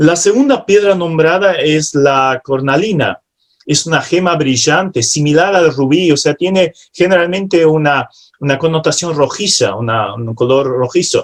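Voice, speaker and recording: Speaking with a non-native accent, a man with a fairly high pitch talks at a fairly slow pace with lively intonation. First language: not Spanish (speaking Spanish). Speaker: preacher. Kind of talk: sermon. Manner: halting at times.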